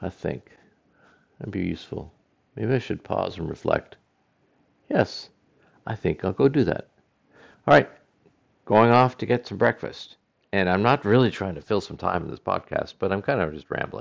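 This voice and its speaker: A man with a fairly low voice and vocal fry speaks at a moderate pace, his loudness swinging widely between long, frequent pauses. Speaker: podcast host. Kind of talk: solo monologue. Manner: rambling, hesitant with fillers.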